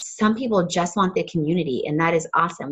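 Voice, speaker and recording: A woman talks at a very fast pace. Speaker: fitness coach team leader. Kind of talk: team training call.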